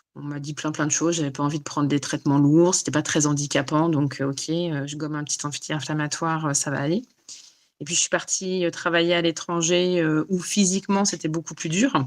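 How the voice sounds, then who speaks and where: In a very clean recording with a silent background, a woman talks at a fairly quick pace in a very deep, low pitch. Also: fairly even intonation. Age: 40s. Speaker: life coach for autoimmune illness. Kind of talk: interview. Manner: halting, many fillers.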